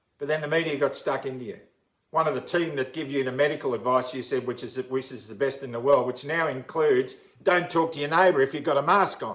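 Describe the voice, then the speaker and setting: With an Australian accent, a man talks at a very fast pace in a fairly high pitch, with ordinary pitch variation and big swings in loudness. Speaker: uniformed worker. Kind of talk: impassioned public appeal.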